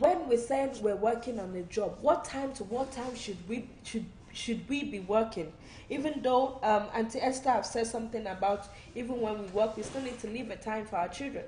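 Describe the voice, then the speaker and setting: Audible room echo surrounds a woman's fairly high voice. She keeps a moderate pace with ordinary pitch variation. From Nigeria (Yoruba). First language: Yoruba. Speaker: online talk show host. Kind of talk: live-stream talk show monologue. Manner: animated, repetitive preaching style.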